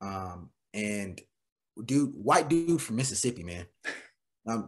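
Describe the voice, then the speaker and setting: Music plays in the background. The speech is very slow, with lively intonation. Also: man, fairly low pitch for a man. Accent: American. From New York City, the Bronx. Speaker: military veteran and addiction coach. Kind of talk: casual chat. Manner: animated.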